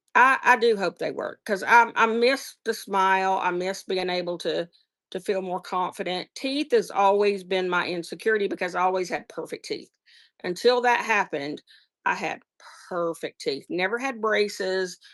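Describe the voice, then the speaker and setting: In a very clean recording with a silent background, a woman with a Southern US accent speaks at a medium pitch and a moderate pace with ordinary pitch variation. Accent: Southern US, noticeable. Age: 50s. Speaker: online seller. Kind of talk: casual live-stream chat. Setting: live stream.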